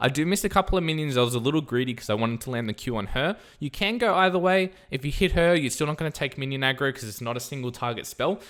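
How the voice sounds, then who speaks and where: A man speaks at a very fast pace with a fairly high pitch and lively intonation. The recording is very clean, with a silent background. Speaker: gaming streamer. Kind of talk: gameplay tutorial commentary. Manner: animated.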